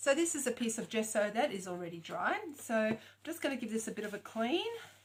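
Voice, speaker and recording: With lively intonation, the speaker goes at a very fast pace in a somewhat breathy voice. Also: woman. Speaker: craft tutor. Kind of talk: tutorial.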